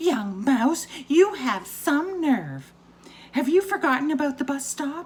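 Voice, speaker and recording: A shrill, put-on character voice, female-sounding and high-pitched, at a fairly slow pace. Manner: shrieking, indignant.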